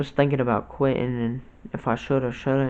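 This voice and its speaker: A man speaks at a medium pitch in a monotone, flat delivery, with noticeable background noise behind him. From Ohio. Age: 20s. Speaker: YouTuber. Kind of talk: casual storytime vlog. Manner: halting, with many fillers.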